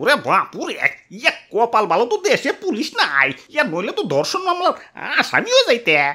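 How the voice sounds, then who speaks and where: A man performs a cartoonish character voice at an extremely high pitch. He projects it loudly at a moderate pace. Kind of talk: comic overacting. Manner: stammering, exclamatory, filler-laden.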